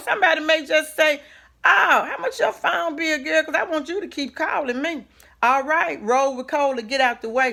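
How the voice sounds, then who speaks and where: A woman's raised, projected voice, animated and lively in intonation, bright and sharp in tone, at a fairly quick pace. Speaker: minister, inspirational vlogger. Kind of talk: motivational talk. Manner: loud.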